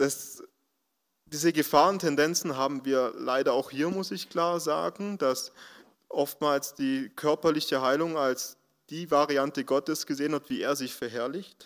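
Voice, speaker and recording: A man with a plain, everyday voice, fairly high pitch, ordinary pitch variation and a fairly slow pace, in a very clean recording over a silent background. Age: 20s. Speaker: social worker at a job centre. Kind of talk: testimony.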